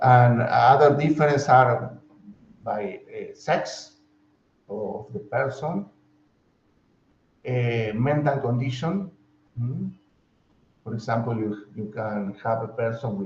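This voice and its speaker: A man's very slow, somewhat breathy speech in a Spanish accent, broken by long, frequent pauses. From Argentina. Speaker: professor. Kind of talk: lecture. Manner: halting.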